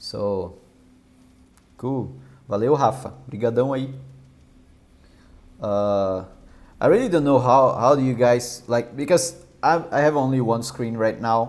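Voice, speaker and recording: At a fairly slow pace, a man with a medium pitch speaks with ordinary pitch variation and long, frequent pauses. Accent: Brazilian Portuguese. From southern Brazil. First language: Portuguese. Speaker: software developer live streamer. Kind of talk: live coding stream. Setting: live stream. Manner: halting, many fillers and repeats.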